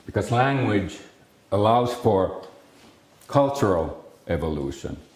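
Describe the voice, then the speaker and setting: A man talks with a Finnish accent at a fairly low pitch. His pace is fairly slow, and the room echo is audible. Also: lively intonation. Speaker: speech scientist. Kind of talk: lecture. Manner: halting, many fillers and restarts.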